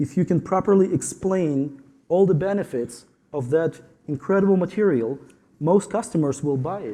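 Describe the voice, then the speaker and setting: With a Ukrainian accent, a man speaks at a high pitch. His pace is moderate and his pitch varies in an ordinary way. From Ukraine. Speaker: tile installer. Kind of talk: panel discussion.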